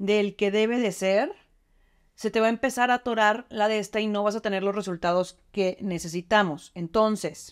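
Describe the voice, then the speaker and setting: A woman with a plain, everyday voice and fairly high pitch speaks at a fairly slow pace over a quiet background. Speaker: beauty product demonstrator. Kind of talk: tutorial. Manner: casual, chatty. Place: bathroom. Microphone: phone near.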